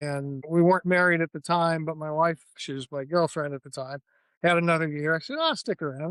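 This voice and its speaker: Fairly quick and high-pitched, a man with an American accent is heard with a dry, close sound with no echo over a quiet background. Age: 60s. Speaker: professional golfer. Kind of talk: interview. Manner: casual.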